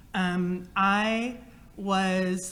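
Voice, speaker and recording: Fairly even intonation from a woman at medium pitch, with audible room echo. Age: 50s. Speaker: inventor and entrepreneur. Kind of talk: panel discussion.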